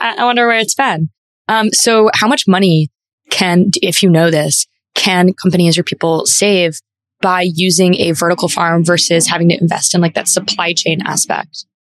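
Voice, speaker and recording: A woman's fairly low-pitched, unremarkable speaking voice in a dry, close sound with no echo. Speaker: interviewer. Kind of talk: interview.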